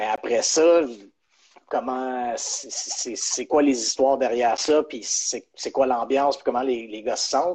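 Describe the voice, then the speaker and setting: This man talks very slowly, his pitch in the middle range and his intonation fairly level. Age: 30s. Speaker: sports journalist. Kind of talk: interview. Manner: halting, many repetitions.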